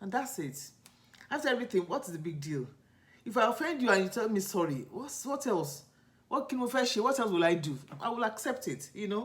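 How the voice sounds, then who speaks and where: At a fairly quick pace, the speaker talks in a Nigerian accent. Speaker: lifestyle vlogger. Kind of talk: casual vlog storytelling. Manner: conversational, halting with self-corrections.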